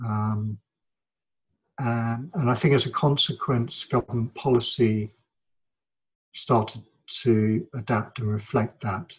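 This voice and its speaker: Speaking with a London accent, a man at medium pitch sounds somewhat breathy, with ordinary pitch variation. His pace is very slow, with long, frequent pauses. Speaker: academic interviewee. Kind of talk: interview conversation. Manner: reflective, hesitant.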